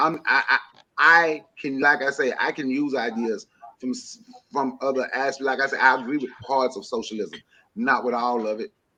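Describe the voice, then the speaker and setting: A loud, animated man at a medium pitch and moderate pace, bright and sharp in tone, with ordinary pitch variation. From rural area. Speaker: panelist. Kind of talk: panel discussion.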